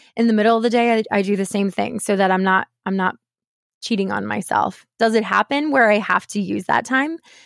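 A woman of medium pitch talks in an ordinary speaking voice. The sound is dry and close with no echo, on a very clean recording with a silent background. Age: 30s. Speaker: mortgage professional and podcast host, former voice teacher. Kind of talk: interview.

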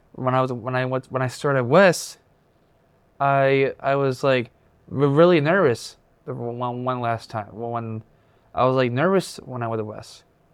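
A man talks fairly slowly at a medium pitch with ordinary pitch variation and long, frequent pauses. The recording is very clean with a silent background. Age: 20s. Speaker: transition program student. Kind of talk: interview. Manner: halting, repeats words.

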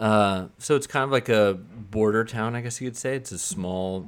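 A man's plain, everyday voice with an American accent, fairly low in pitch, at a moderate pace with ordinary pitch variation. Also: very clean recording, silent background. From US West Coast (San Diego). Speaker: music video director. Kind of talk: casual chat.

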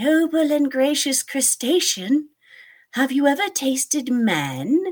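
In a put-on character voice, a female-sounding voice talks at a fairly slow pace and a high pitch. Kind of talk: formal, florid. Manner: flattering, courteous.

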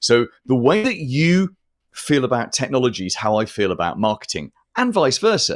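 At a moderate pace, a man speaks at a medium pitch with very wide pitch swings on a very clean recording with a silent background. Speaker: marketing consultant and podcaster. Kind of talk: casual interview.

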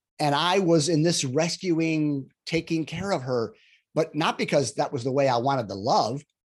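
A plain, everyday voice with ordinary pitch variation, captured in a very clean recording against a silent background. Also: man. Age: 60s. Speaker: relationship coach. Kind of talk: interview.

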